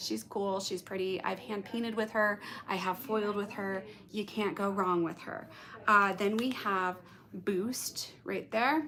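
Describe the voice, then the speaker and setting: Her voice is an unremarkable speaking voice: this woman speaks at a medium pitch and a fairly slow pace, with fairly even intonation. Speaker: hairstylist and color educator. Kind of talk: live-streamed tutorial. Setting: live stream to YouTube and Instagram.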